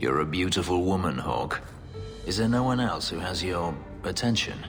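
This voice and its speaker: A man's growling, put-on character voice, very deep and low in pitch, at a moderate pace over loud music in the background. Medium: cartoon. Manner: gloomy, terse.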